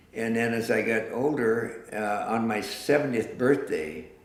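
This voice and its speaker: A man with an American accent speaks in a medium pitch with ordinary pitch variation. There is noticeable background noise and audible room echo. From eastern Washington. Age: 60s. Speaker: artist. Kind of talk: interview. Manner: halting.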